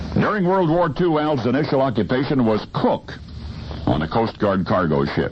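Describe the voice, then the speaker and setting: A man in a dramatic tone, with very wide pitch swings, very even loudness and noticeable background noise. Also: medium pitch for a man, moderate pace. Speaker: radio broadcaster, storyteller. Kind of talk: radio storytelling segment. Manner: dramatic timed pauses.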